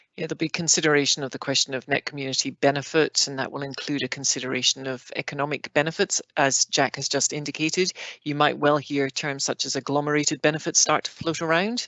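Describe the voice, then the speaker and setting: A strong Scottish accent at a very fast pace, with hardly any pauses. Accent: heavy Scottish. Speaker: planning process expert panelist. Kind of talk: online Q&A panel. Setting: online video session.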